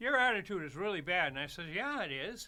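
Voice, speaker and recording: A man speaks at a high pitch in a raised, projected voice. His tone is bright and sharp, and his pace is moderate. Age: 80s+. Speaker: street musician, trumpet player. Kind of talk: casual chat. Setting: studio. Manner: halting.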